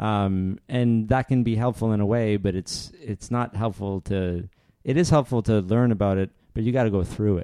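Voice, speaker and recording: In a Canadian accent, a dark, mellow voice speaks at a moderate pace with ordinary pitch variation, the sound dry and close with no echo. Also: man, fairly low pitch for a man. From Canada, Northern Ontario. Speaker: podcast host. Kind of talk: casual interview; scripted intro narration.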